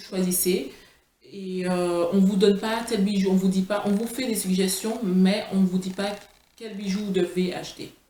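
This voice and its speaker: A woman's medium-pitched voice in flat, monotone intonation, with big swings in loudness and audible room echo. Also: fairly slow pace. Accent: Martinican. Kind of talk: product presentation vlog. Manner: halting, many fillers and restarts.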